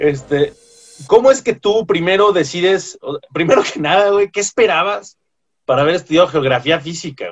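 A man with a high voice talks at a moderate pace, his loudness swinging widely and his intonation lively. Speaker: podcast co-host. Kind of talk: casual chat.

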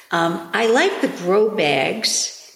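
Over noticeable background noise, a woman with an American accent talks at a very slow pace. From New York. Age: 60s. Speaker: gardener, host's mother. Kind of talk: casual interview. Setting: in person on a couch at home.

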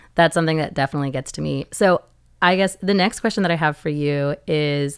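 A woman speaks in a very deep, low pitch. She keeps a moderate pace with ordinary pitch variation. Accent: American. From US Pacific Northwest, Seattle. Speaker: podcast host. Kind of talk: casual chat; scripted show intro.

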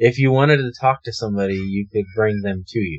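The voice is somewhat breathy, with ordinary pitch variation and a fairly quick pace. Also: man. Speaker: paranormal podcast co-host. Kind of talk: casual discussion.

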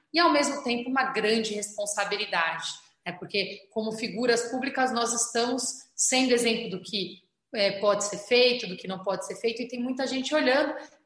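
A woman's fairly high-pitched voice at a moderate pace, with audible room echo. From São Paulo city outskirts, Brazil. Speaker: state government official. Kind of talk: interview. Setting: video call.

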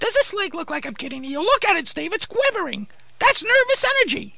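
This cartoonish character voice is extremely high, with very wide pitch swings and a fairly quick pace. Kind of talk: comic ventriloquist patter. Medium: puppet show. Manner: indignant, rationalizing.

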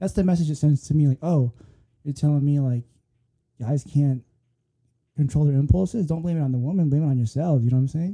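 Somewhat breathy and dark, mellow in tone, a man with an American accent speaks at a very fast pace and fairly high pitch, with ordinary pitch variation and long, frequent pauses, in a dry, close sound with no echo. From Philippines, then California Bay Area. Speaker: podcast host. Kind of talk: casual chat.

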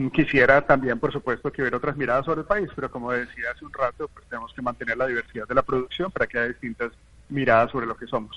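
Fairly even in intonation, a man rattles along at a very fast pace. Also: medium pitch for a man. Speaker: film and culture expert. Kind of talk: radio panel discussion.

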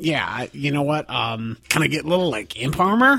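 At a moderate pace, this is delivered in a put-on character voice. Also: man, fairly high pitch for a man. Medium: actual play. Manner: sardonic, cheeky.

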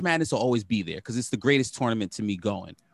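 A man with a New York accent and lively intonation, in a dry, close sound with no echo against a quiet background. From Brooklyn, New York. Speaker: sports podcast co-host. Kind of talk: casual chat.

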